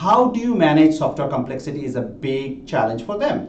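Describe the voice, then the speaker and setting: With a fairly high pitch and lively intonation, a man talks at a fairly quick pace. Audible room echo is present. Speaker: tech executive presenting a webinar. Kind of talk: webinar presentation. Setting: online webinar. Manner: many fillers and repetitions.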